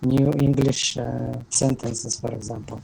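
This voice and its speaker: Fairly slow delivery against clearly audible background noise. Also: man. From Kyrgyzstan. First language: Kyrgyz and Russian. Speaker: language student. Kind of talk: online class discussion. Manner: halting, many hesitations.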